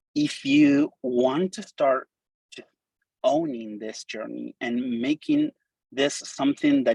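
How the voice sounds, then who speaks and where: With a Spanish accent, a man speaks in a dry, close sound with no echo. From Argentina. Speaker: designer and coder giving a talk. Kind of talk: conference presentation. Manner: animated, casual.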